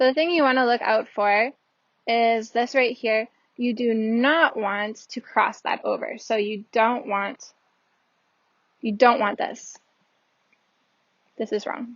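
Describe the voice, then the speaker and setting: Pausing long and often, a woman speaks very slowly at a fairly high pitch. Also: ordinary pitch variation. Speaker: Japanese language teacher. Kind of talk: language lesson explanation. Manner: casual, hesitant.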